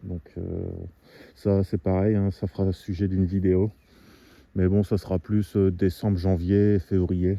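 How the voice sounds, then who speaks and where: With a very deep, low pitch, a man speaks at a very slow pace in a monotone, flat intonation, leaving long, frequent pauses. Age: 40s. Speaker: amateur woodcutter vlogger. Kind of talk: casual vlog talk to camera. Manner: hesitant, many fillers.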